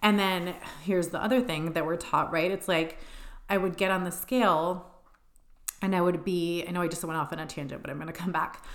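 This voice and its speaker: Audible room echo surrounds a woman with a fairly low pitch. Her intonation is fairly even. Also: fairly quick pace. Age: 30s. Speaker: podcast host, body image and nutrition coach. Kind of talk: solo personal monologue. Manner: casual, filler-heavy.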